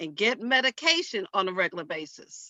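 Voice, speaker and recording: A woman talks at a moderate pace. She speaks with a New York accent. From Harlem, New York. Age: old. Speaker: church women's group member. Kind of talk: public hearing testimony.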